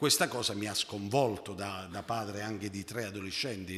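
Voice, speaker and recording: A man speaks in a bright, sharp tone at a fairly low pitch with fairly even intonation. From southern Italy, Basilicata. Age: 40s. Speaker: cooperative founder; conference panelist. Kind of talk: conference talk. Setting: conference hall with audience. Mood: earnest, concerned. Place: hall. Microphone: podium.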